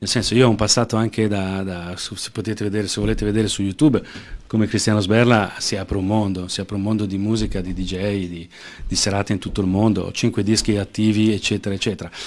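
At a very fast pace, a man speaks in a flat monotone at a fairly low pitch. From Lombardy, Lecco; Lombardy. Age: 40s. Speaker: political candidate; candidate. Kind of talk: interview. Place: studio. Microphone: studio mic.

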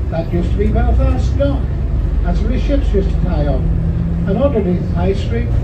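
Through loud background noise, a man speaks at a moderate pace with ordinary pitch variation. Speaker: tour guide. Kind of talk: tour commentary. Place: bus.

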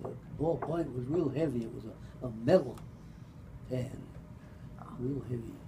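A man speaks at medium pitch and a moderate pace, with fairly even intonation. He takes long, frequent pauses, and there is noticeable background noise. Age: 80s+. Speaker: retired pharmacist. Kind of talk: family storytelling. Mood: relaxed, amused. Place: meeting room. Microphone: camera far.

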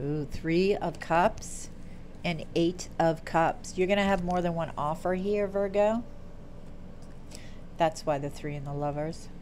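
A woman's fairly low voice at a fairly slow pace, with long, frequent pauses and light background noise. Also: fairly even intonation. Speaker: tarot reader. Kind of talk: tarot reading commentary. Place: home room. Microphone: earbuds.

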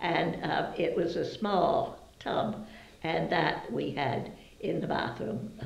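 At a very slow pace, a woman talks with an American accent amid audible room echo. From Brewster, Massachusetts, Cape Cod. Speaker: longtime local resident, oral history interviewee. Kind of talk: oral history interview answer, recalling childhood memories. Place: home room.

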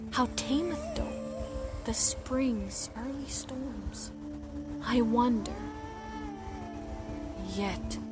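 A woman talks at a very slow pace with long, frequent pauses, her voice dry with no echo over clear background music. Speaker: poetry reciter. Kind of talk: poetry reading. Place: forest. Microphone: phone near.

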